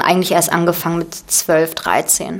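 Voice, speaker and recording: There is noticeable background noise as a woman speaks in a Russian accent. Her pitch is fairly low and her pace moderate. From Berlin, Germany. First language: Russian (speaking German). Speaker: actress. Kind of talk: casual interview.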